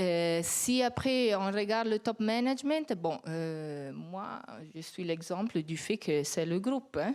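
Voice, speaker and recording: A woman with an Italian accent at a very slow pace, medium in pitch, with very wide pitch swings. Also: very clean recording, silent background. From Italy. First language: Italian (speaking French). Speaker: company executive. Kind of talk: panel discussion.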